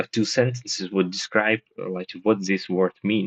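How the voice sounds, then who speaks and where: A man speaks with a Russian accent in a fairly low pitch. The sound is dry and close, with no echo. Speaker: participant in book discussion voice room. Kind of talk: casual chat. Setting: voice room on language app. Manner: halting.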